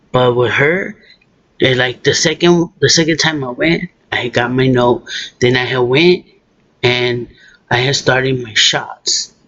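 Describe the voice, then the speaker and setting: A man with an American accent speaks at a fairly slow pace and medium pitch, with ordinary pitch variation and long, frequent pauses. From Southern California. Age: 30s. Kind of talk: casual talk to camera.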